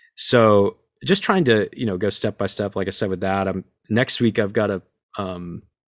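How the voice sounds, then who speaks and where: A man with a normal speaking voice, fairly low in pitch, at a moderate pace, in a dry, close sound with no echo and a very clean recording against a silent background. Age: 30s. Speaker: franchise owner and actor. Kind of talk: interview.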